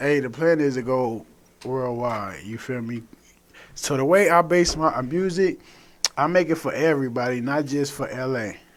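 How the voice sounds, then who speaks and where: A man keeps a medium tempo with usual pitch changes as noticeable noise sounds in the background. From Los Angeles, South Central. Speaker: rapper. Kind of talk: radio interview. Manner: casual.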